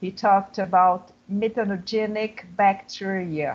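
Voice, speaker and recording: The voice is monotone and flat, with a Portuguese accent. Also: woman. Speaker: professor of international relations. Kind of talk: panel discussion.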